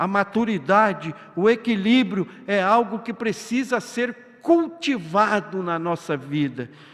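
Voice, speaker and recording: Over noticeable background noise, a man talks very slowly with a high pitch and very wide pitch swings. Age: 60s. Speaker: pastor. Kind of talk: sermon. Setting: church.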